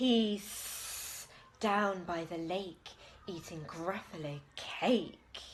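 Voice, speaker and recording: Someone delivers a put-on character voice at a very slow pace. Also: woman, medium pitch for a woman. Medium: read story. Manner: sly, hissing.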